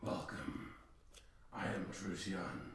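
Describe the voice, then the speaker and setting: A man does a put-on character voice that is raspy and very deep, low in pitch. There is slight echo and light background noise. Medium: actual play. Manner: calm, archaic phrasing.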